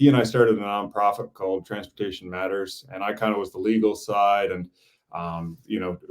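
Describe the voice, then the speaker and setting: With a normal speaking voice, a man talks at a fairly quick pace and a fairly low pitch, his intonation fairly even and his loudness swinging widely. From Newfoundland, Canada. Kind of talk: interview. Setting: live video stream.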